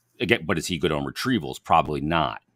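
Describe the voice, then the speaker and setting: A man at a fairly quick pace, lively intonation and vocal fry, in a dry, close recording with no echo, very clean and with a silent background. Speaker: hockey podcast host. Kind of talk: sports talk show.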